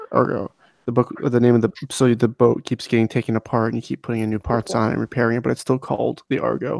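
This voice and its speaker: A quiet man's voice at a very fast pace and medium pitch, with fairly even intonation, a dry, close sound with no echo, and a very clean recording with a silent background. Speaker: book discussion podcast co-host. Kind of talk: casual chat. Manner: quiet, holding back volume.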